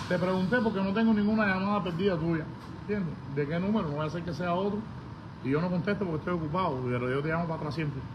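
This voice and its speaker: A man with a high pitch speaks at a very fast pace with ordinary pitch variation over noticeable background noise. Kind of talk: heated casual argument. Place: garage. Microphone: phone near.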